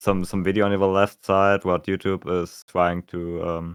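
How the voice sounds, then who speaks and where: In a German accent, a man speaks with a very deep, low pitch and flat, monotone intonation, the sound dry and close with no echo. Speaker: musician co-host. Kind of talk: casual chat. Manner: halting.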